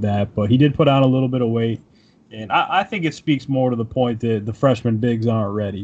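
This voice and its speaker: A man's somewhat breathy voice, medium in pitch, with an American accent, fairly even intonation and a very fast pace. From Syracuse, upstate New York. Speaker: sports reporter. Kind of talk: casual chat.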